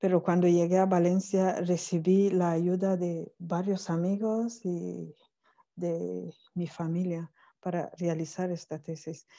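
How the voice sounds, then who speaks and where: A woman's dark, mellow tone at a fairly low pitch, monotone and flat, at a very slow pace. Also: quiet background. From Cameroon. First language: not Spanish (French or Cameroonian language) (speaking Spanish). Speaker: academic, PhD in languages. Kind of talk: online conference talk. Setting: video call from Cameroon. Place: home room. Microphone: earbuds.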